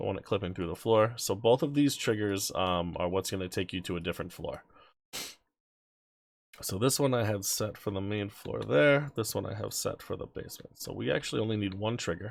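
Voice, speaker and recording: Vocal fry colors a man's fairly low voice, which shows ordinary pitch variation. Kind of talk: game-building tutorial narration. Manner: casual, hesitant with many fillers.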